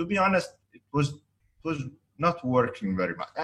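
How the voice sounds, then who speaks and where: Speaking with an Italian accent, a man uses a fairly high pitch at a fairly slow pace. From Italy. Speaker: architect and business developer. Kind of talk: interview. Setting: video call. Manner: halting, hesitant.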